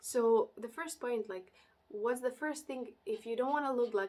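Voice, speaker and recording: A woman speaks at a fairly slow pace with a fairly high pitch and a non-native accent. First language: not English. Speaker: interior designer and YouTuber. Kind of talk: casual vlog talk to camera. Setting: home recording during heat wave with fan. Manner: halting, many fillers.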